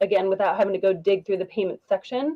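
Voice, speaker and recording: A woman's voice, dry and close with no echo. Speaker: dashboard and tech consultant. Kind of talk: tutorial. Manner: fast.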